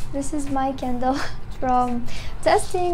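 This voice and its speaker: A woman with a non-native accent speaks fairly slowly with fairly even intonation, with audible room echo and noticeable background noise. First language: not English. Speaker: candle maker and small business owner. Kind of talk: product tutorial. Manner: halting with fillers.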